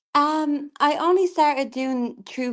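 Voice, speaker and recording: A woman with an Irish accent and ordinary pitch variation, over a quiet background. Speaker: tarot reader. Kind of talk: casual livestream chat. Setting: video call livestream.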